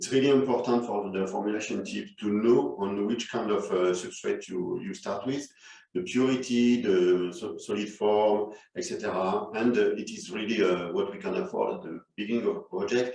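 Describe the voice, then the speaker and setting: The speaker is a man with a French accent. He keeps a moderate pace. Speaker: chemist. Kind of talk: corporate presentation.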